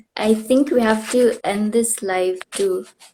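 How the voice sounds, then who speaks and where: With a northeastern Indian accent, a woman speaks at a fairly high pitch with ordinary pitch variation. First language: Khasi. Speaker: livestream host, former pageant winner. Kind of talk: casual interview on livestream. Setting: Instagram live video call.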